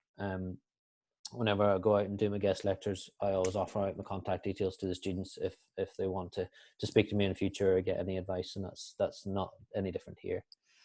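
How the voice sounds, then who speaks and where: With a Northern Irish accent, a man talks at a very fast pace in a fairly low pitch, his dark, mellow tone held to a monotone, flat intonation. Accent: Northern Irish, dense. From Northern Ireland. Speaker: sports performance analyst, guest lecturer. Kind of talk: online guest lecture. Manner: hesitant, many fillers.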